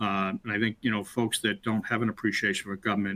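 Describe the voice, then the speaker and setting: A man talks in a Boston accent at a fairly low pitch. His tone is bright and sharp, and his intonation is monotone and flat. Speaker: webinar host, former state CIO. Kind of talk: webinar conversation. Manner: halting, many fillers.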